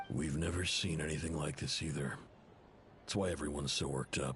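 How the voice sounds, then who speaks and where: A man's raspy, put-on character voice at a fairly quick pace and very even loudness, over clear background noise. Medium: video game.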